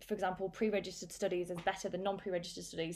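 The woman's voice sits at a medium pitch. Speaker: psychology lecturer. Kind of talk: casual interview. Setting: online call. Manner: articulate.

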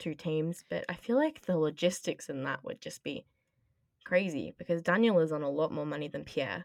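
A woman's fairly low voice, a plain, everyday voice, at a moderate pace with ordinary pitch variation and a dry, close sound with no echo. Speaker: podcast host. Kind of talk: casual chat.

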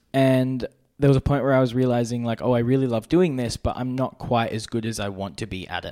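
Speaking at a fairly quick pace with an Australian accent, a man is heard in a very clean recording with a silent background. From Brisbane, Australia. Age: young. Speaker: documentary filmmaker and YouTuber. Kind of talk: casual interview.

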